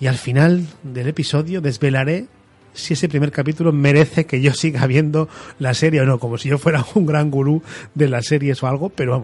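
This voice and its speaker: Music plays in the background as a man talks at a fairly quick pace and a fairly high pitch. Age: 40s. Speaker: podcast host. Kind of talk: solo monologue.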